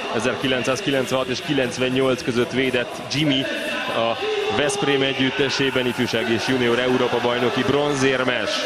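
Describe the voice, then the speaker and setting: The speech comes at a fairly slow pace, dry with no echo, over loud background noise. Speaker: sports commentator. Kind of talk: live commentary. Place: stadium.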